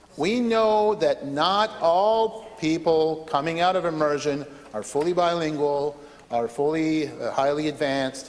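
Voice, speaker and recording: Noticeable background noise sits behind a man talking at a fairly slow pace, his fairly high pitch showing ordinary variation. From southeastern New Brunswick, Canada. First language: French. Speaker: legislator. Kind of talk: parliamentary debate speech. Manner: hesitant, many fillers and repetitions.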